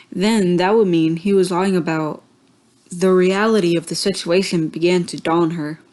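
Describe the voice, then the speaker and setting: A woman's fairly low pitch and fairly even intonation at a moderate pace against a quiet background. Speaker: amateur story reader. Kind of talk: reading aloud. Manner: halting.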